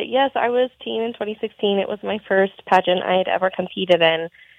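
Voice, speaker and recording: A woman with an American accent and a plain, everyday voice talks at a moderate pace with lively intonation and hardly any pauses. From Montana. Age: 20s. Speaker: pageant titleholder. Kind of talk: radio interview.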